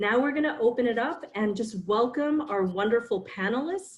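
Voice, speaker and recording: With an American accent, a woman speaks in lively intonation. Her voice is somewhat breathy. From New York City. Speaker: career counselor, panel moderator. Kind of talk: online panel moderation. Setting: video call.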